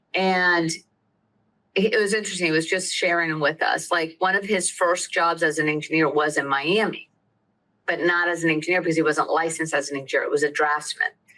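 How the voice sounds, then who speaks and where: Someone with an American accent speaks at a fairly quick pace, with fairly even intonation and very even loudness. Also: woman, fairly low pitch for a woman. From US South, Lakeland, central Florida. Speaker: attorney. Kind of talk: interview.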